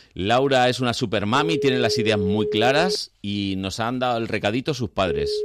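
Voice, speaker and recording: A man's medium-pitched voice at a moderate pace, ordinary pitch variation, hardly any pauses, and noticeable background noise. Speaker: radio host. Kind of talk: casual chat. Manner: animated.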